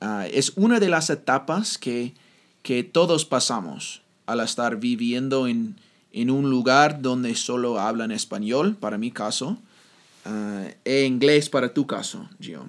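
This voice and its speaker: Speaking with an English accent, a man at a medium pitch goes very slowly with lively intonation, in a very clean recording with a silent background. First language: English (speaking Spanish). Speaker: podcast host, Spanish learner. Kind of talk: casual chat. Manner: halting.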